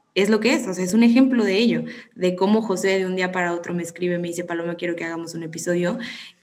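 A woman's very fast speech at a medium pitch, with ordinary pitch variation and audible room echo. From Mexico, Tampico. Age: 20s. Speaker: psychology student. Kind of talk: casual chat.

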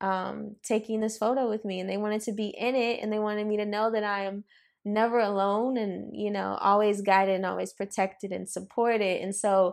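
Spoken at a moderate pace with an American accent, an ordinary speaking voice comes through on a very clean recording with a silent background. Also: woman. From Los Angeles. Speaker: interior designer and co-founder. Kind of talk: casual chat.

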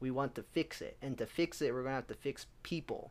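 Recorded very cleanly against a silent background, a man speaks at a medium pitch with ordinary pitch variation in a plain, everyday voice. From US Southwest, Albuquerque, New Mexico. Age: 20s. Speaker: podcast co-host. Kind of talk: casual chat.

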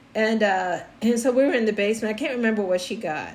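With an animated tone and fairly high pitch, a woman talks at a fairly quick pace over noticeable background noise. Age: 50s. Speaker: podcast host. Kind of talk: casual chat.

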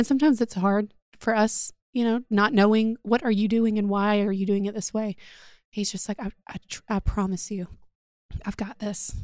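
Recorded very cleanly against a silent background in a dry, close sound with no echo, a woman with a Southern US accent speaks at a moderate pace in a fairly high voice with fairly even intonation. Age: 30s. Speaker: podcast host. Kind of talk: casual chat.

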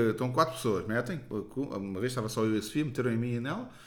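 In a room with audible echo, a man talks very fast at a medium pitch with ordinary pitch variation. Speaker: comedian. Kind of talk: casual chat.

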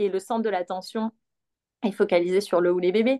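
A woman's dark, mellow tone, dry and close with no echo. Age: 30s. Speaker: perinatal yoga teacher. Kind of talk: guided exercise instruction; casual interview.

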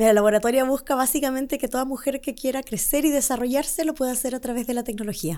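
A woman speaks at a very fast pace with hardly any pauses, in a high pitch with ordinary variation. Her tone is dark and mellow, and the recording is very clean with a silent background. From Chile. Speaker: entrepreneur. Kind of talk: interview.

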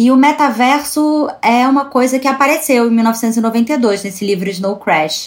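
Her voice high and its pitch varying in an ordinary way, the woman speaks fairly slowly. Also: hardly any pauses. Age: 30s. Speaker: culture journalist. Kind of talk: casual chat. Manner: halting.

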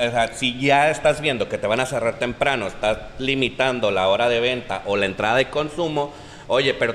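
Noticeable background noise surrounds a man speaking at a fairly quick pace with medium pitch and ordinary pitch variation. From La Paz, Baja California Sur. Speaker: talk show host.

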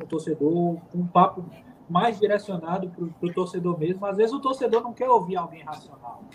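The man's voice is high-pitched, with ordinary variation. He speaks at a moderate pace. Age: 30s. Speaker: football commentator. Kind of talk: casual interview.

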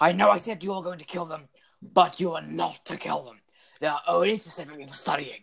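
A put-on character voice at a middle pitch and a very fast pace. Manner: stern, commanding drill-sergeant tone.

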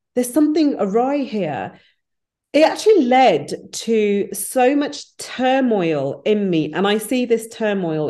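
With a West Midlands accent, a woman speaks in a dark, mellow tone, her pitch swinging very widely. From English Midlands (Wolverhampton), British Punjabi Sikh family. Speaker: business founder and HR professional. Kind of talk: interview.

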